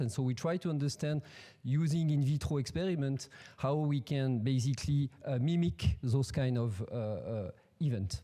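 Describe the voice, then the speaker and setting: In a French accent, a man speaks with a dark, mellow tone, a fairly high pitch and ordinary pitch variation. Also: quiet background. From France. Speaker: professor. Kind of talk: scientific presentation. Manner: halting, many fillers and repetitions. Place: hall. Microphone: podium.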